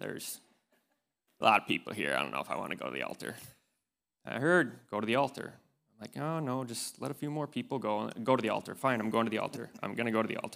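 Very fast and lively, a man with a medium pitch speaks in a bright, sharp tone with vocal fry, in a very clean recording with a silent background.

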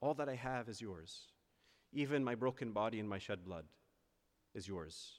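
A man at medium pitch, with lively intonation and a moderate pace. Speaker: priest giving homily. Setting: church.

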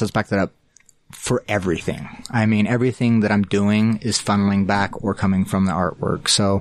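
In an American accent, a man with a normal speaking voice talks at a fairly quick pace and a fairly low pitch. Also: very even loudness. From small-town Utah. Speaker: artist. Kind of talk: interview.

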